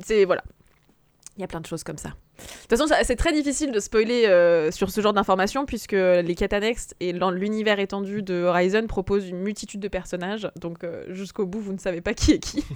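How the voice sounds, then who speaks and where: A normal speaking voice from a woman at medium pitch, fairly quick, with ordinary pitch variation, on a very clean recording with a silent background. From France, Haute-Savoie. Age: 30s. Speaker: video game podcast guest. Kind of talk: casual chat.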